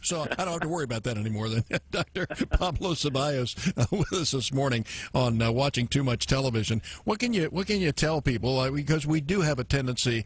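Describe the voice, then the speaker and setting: Somewhat breathy, a man speaks very fast with lively intonation. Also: fairly high pitch for a man. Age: 60s. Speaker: radio host. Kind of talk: radio interview. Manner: halting, repeats words.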